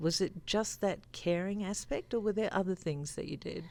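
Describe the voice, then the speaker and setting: A woman talks with an Australian accent. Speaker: interviewer, sales engineer. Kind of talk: interview.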